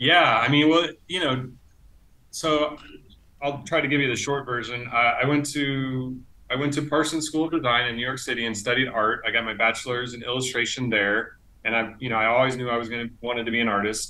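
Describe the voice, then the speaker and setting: A man's fairly quick delivery with fairly even intonation. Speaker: illustrator; interviewee. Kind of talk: casual interview; interview answer. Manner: hesitant, many fillers. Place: home room. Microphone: earbuds.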